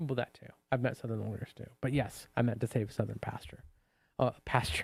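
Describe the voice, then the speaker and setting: Medium-pitched male voice with an American accent, vocal fry, fairly even intonation, a fairly quick pace and big swings in loudness. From US South, Savannah, Georgia. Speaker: livestream host, former cult member. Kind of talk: casual livestream chat.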